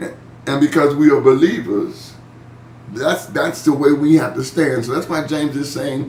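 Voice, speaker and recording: There is audible room echo and noticeable background noise. A man speaks at a fairly high pitch with ordinary pitch variation. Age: 60s. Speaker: pastor leading Bible study. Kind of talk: online Bible study discussion. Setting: video call. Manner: casual, conversational.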